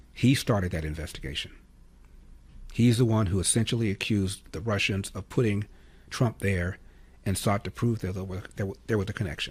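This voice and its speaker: A fairly quick delivery broken by long, frequent pauses, somewhat breathy, with ordinary pitch variation. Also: man. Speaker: conservative talk radio host. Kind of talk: radio talk show monologue. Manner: opinionated, commentary.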